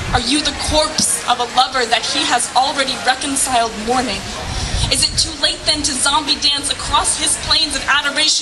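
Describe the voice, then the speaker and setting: A woman with a high pitch speaks at a moderate pace amid noticeable background noise. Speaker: slam poet. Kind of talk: slam poetry performance. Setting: live outdoor event.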